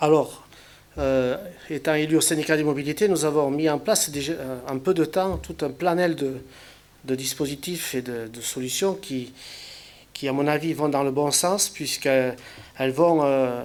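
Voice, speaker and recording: Pausing long and often, a man speaks at a fairly slow pace and a fairly high pitch with fairly even intonation. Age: 60s. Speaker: local elected official, retired railway worker. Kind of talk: public speech. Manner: halting, many hesitations and repetitions.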